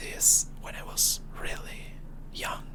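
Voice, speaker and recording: The speaker whispers at a very slow pace. Background noise is noticeable. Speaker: ASMR creator. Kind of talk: casual Q&A talk to camera. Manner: whispered.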